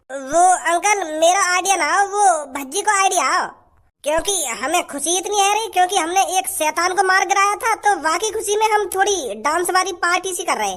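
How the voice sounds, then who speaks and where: In a cartoonish character voice, someone speaks at an extremely high pitch and a moderate pace. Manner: rambling, stammering, defensive.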